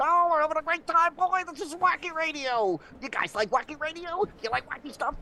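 Over clear background noise, a man does a put-on character voice at an extremely high pitch and a fairly quick pace. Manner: excited, exaggerated, wacky.

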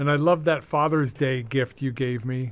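This man has a normal speaking voice at medium pitch. He talks at a fairly slow pace with fairly even intonation. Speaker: radio host. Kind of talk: casual banter on a radio show. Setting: studio.

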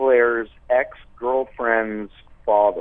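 With a Canadian accent, a man speaks at a very slow pace. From Toronto, Canada. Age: 40s. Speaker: musician. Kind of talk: casual chat.

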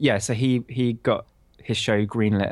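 On a very clean recording with a silent background, a man with a British accent speaks at a medium pitch in a monotone, flat intonation. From Bristol, England. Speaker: composer. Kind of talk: casual interview.

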